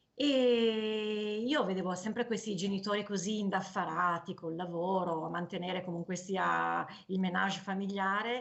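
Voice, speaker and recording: A woman speaks at a medium pitch and a fairly slow pace. Her intonation is fairly even. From northern Italy, Piedmont (Canavese). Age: 40s. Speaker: cancer survivor, cyclist and author. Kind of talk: personal testimony. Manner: hesitant, with fillers.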